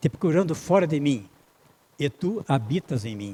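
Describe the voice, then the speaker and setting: A man is speaking. His tone is dark and mellow. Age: 80s+. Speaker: spiritist lecturer. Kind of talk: lecture. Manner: halting.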